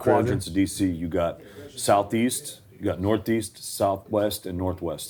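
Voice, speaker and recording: This man's very deep, low voice has a dark, mellow tone. He speaks with an American accent and ordinary pitch variation. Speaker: ring announcer. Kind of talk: interview answer, casual talk.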